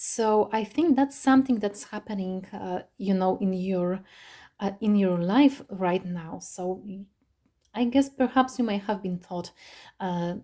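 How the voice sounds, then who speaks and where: A woman with a non-native accent, medium pitch and ordinary pitch variation, a dark, mellow, somewhat breathy tone and a fairly slow pace, in a very clean recording with a silent background. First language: not English. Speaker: tarot reader. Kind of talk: tarot reading monologue. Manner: halting, many fillers.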